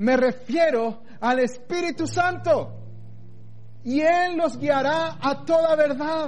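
An extremely high male voice at a very slow pace, very even in loudness, over noticeable background noise. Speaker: pastor. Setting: online church service, recorded for video. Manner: tender, pastoral, persuasive; slows into a fatherly voice when voicing God's words; firm, convicted, emphatic on key declarations.

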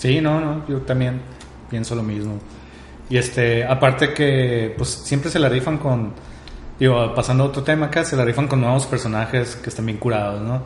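A man speaks with a Mexican accent at a medium pitch and a moderate pace. His intonation stays fairly even, and the room echo is audible. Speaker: podcast co-host. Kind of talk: casual chat.

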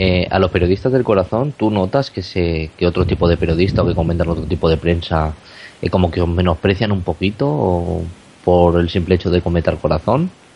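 A man talks at a fairly quick pace with a very deep, low pitch. His loudness stays very even. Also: ordinary pitch variation. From Spain, not Barcelona. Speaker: radio co-host interviewer. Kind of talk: interview.

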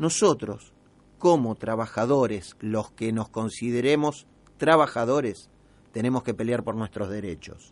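A man with a medium pitch and ordinary pitch variation speaks at a fairly slow pace. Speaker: radio host. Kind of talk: radio talk show. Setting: radio studio. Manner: halting, many fillers.

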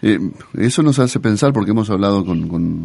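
The man's voice has a dark, mellow tone. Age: 40s. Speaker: radio host. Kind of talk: radio interview. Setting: radio studio. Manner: halting.

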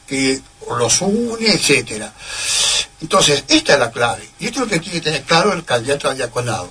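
There is noticeable background noise as a man talks at a fairly quick pace. His high voice swings very widely in pitch. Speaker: priest. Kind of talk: interview. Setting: radio studio. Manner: formal.

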